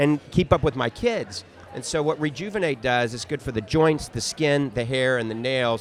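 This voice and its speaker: A man with an ordinary speaking voice, medium pitch, ordinary pitch variation and a moderate pace. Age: 60s. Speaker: optometrist and supplement maker. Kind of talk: interview conversation.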